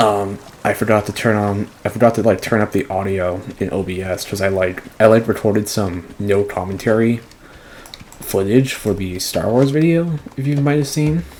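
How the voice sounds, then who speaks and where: A soft-spoken voice at a moderate pace comes through over noticeable background noise. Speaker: gaming youtuber. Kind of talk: let's play commentary. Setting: home recording at night. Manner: halting.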